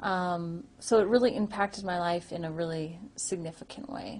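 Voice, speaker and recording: This woman's voice is somewhat breathy. She is the one speaking. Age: young. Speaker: person who stutters giving a testimonial. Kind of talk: testimony. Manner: stuttering with repetitions; hesitant, many fillers.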